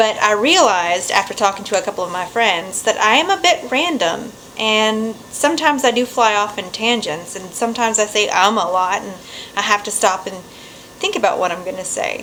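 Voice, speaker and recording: Against noticeable background noise, a woman talks at a fairly quick pace and fairly high pitch, her intonation lively. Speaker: vlogger. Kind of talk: casual vlog to camera. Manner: fast; reading from outline notes.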